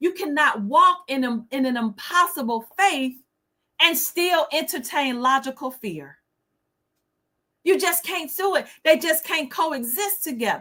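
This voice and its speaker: A woman's raised, projected voice, high in pitch with a bright, sharp tone. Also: lively intonation, fairly slow pace. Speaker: livestream host. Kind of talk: inspirational livestream talk. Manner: stutter.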